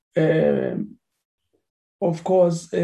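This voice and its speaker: A high-pitched man over background music. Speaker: committee chairperson. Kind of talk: chairing parliamentary meeting. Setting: virtual meeting.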